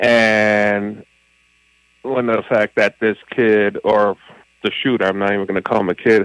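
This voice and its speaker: This man talks at a fairly slow pace in a fairly low pitch, with a monotone, flat delivery, long and frequent pauses, and a dry, close sound with no echo. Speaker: caller. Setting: phone call.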